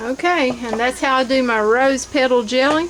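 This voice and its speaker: Noticeable background noise runs behind a woman whose speech keeps a moderate pace. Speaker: home canning and crafts vlogger. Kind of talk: tutorial. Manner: casual, with frequent ums.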